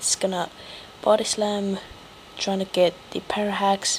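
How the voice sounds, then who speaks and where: A woman is talking. The background carries noticeable noise. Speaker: gaming commentator. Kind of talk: game commentary narration. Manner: low-energy; casual.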